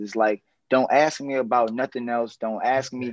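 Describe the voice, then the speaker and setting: A man with an American accent has an ordinary speaking voice at medium pitch, with fairly even intonation. He talks at a fairly quick pace over a quiet background. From New Orleans, US South. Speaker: consultant and business developer. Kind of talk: casual interview chat.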